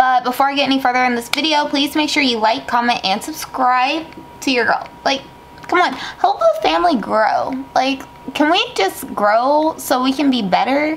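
Over light background noise, a woman speaks in a high voice. Her intonation is lively and her pace moderate. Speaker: vlogger. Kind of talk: casual vlog chat. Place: home room. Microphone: phone near.

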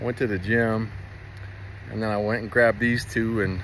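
Light noise sits behind a man speaking at a moderate pace. His sound is dry, without any echo. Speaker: vlogger. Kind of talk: casual vlog chat, heartfelt personal message. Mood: earnest, heartfelt. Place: open country. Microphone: phone near.

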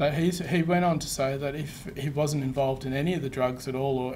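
Light background noise sits under a man with an Australian accent. He speaks at a fairly quick pace and fairly high pitch, with fairly even intonation. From Western Australia. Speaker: presenter. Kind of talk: presentation; answering audience questions. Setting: webinar with live room audience. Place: meeting room.

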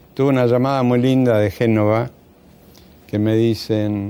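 This man speaks with a Rioplatense accent. His pitch is fairly low and his intonation fairly even. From Argentina, Buenos Aires (Devoto). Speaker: surgeon and retired professor. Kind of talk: interview. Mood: calm, reminiscing. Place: studio.

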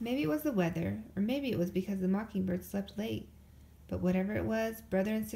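A reading voice that is unforced

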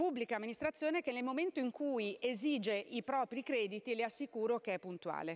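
A woman speaks in a high pitch at a fairly quick pace. Her intonation is lively, and she hardly pauses at all. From Italy. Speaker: member of parliament. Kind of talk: parliament oratory, formal reply to a minister during question time. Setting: parliament chamber. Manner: emphatic, pressing the minister on closing businesses. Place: hall. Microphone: podium.

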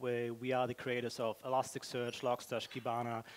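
A man speaking at a moderate pace. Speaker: conference speaker. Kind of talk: conference talk. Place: hall. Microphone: headset.

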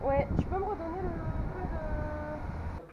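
A woman talks with clearly audible noise in the background. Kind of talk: casual vlog chat. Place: street. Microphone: phone near.

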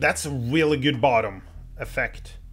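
Somewhat breathy and fairly high in pitch, a man speaks at a very slow pace. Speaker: gaming streamer. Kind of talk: let's play commentary. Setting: live stream. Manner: casual, thinking aloud. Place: home room.

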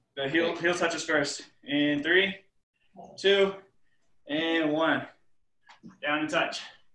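Speech comes at a very slow pace with monotone, flat intonation and audible room echo. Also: man. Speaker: fitness instructor. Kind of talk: workout instruction. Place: home room. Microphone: video call.

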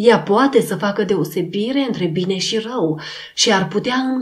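Simple, plain reading aloud

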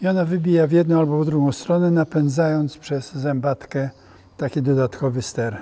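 In a dark, mellow tone, a man speaks at a moderate pace with fairly even intonation. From Poland. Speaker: sailor, yacht captain. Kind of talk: interview answer, explaining on a yacht. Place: hall.

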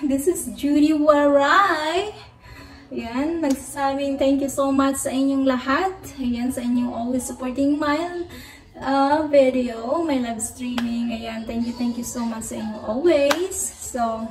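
A woman talks at a very slow pace in a high pitch with ordinary pitch variation. Light background noise and audible room echo can be heard. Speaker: vlogger. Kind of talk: casual vlog chat. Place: garage. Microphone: phone near.

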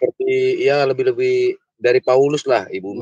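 A man is recorded with a dry sound, no echo, and a quiet background. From Indonesia (Batak). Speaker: viewer calling in. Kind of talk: casual chat. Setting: video call. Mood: joyful, praising. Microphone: video call.

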